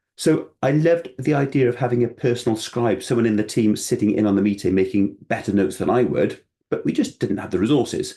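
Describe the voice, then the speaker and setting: A man with a Welsh accent talks at a fairly quick pace. His pitch is medium. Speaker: financial adviser. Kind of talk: presentation. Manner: casual, self-deprecating conversational delivery.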